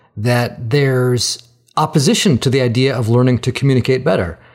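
An unremarkable speaking voice proceeds at a moderate speed. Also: man. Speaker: podcast host. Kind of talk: interview conversation.

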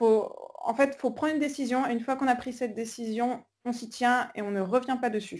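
A woman's high voice, fairly quick and fairly even in intonation. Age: 20s. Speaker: traveller and volunteer. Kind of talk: interview. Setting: video call.

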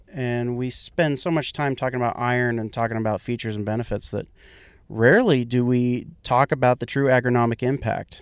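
This is a man with an ordinary speaking voice at medium pitch. He talks at a fairly quick pace with fairly even intonation. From central Kansas. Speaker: agronomist. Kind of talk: casual chat.

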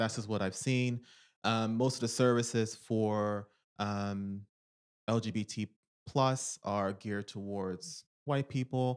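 In a very clean recording with a silent background and a dry, close sound with no echo, a man with an American accent talks at a very slow pace, medium pitch and fairly even intonation. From US, Philadelphia. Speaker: psychotherapist. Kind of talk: interview.

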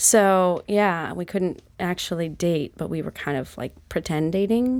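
A woman's plain, everyday voice, fairly low in pitch with ordinary pitch variation, at a fairly slow pace with hardly any pauses, in a very clean recording with a silent background. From Utah. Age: 40s. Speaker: yoga teacher. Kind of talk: casual chat.

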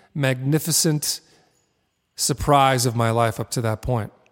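This man has a normal speaking voice, pitched fairly high, and he talks at a fairly slow pace. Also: very clean recording, silent background. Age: 40s. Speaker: artist and creativity teacher. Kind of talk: interview conversation; guided meditation.

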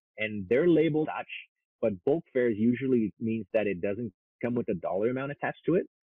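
With a French Canadian accent, a man talks at a medium pitch with ordinary pitch variation. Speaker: airfare consultant. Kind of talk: interview.

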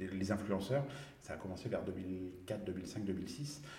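A man at a fairly slow pace and fairly low pitch, with audible room echo. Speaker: social media consultant. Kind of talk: casual chat. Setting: studio. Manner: halting.

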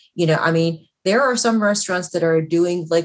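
A woman speaks in an unremarkable speaking voice. Her pitch is fairly low, with ordinary variation. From Chicago. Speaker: food critic. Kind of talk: panel talk. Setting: video call.

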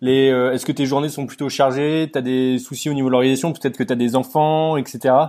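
The man's voice sits at a medium pitch with monotone, flat intonation. He moves at a fairly quick pace. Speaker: podcast host. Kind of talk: interview.

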